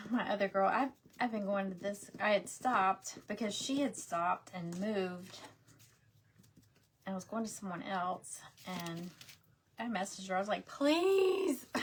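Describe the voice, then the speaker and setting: In a slight Southern US accent, a woman speaks at medium pitch and a fairly slow pace, with ordinary pitch variation and long, frequent pauses. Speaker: craft livestream host. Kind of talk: casual livestream craft tutorial. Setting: live video stream. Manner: chatty, informal.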